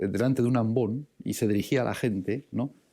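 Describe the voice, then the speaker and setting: A man talks fairly quickly at a medium pitch, his intonation fairly even. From Basque Country, San Sebastián. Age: 60s. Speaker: priest and theology professor. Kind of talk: lecture. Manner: halting, many fillers and repetitions; reading aloud.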